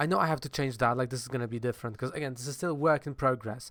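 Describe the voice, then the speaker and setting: The speaker has a Polish accent, heard in a very clean recording with a silent background. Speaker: comics blogger and video creator. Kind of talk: casual vlog talk to camera. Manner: hesitant, many fillers; animated, gestures a lot.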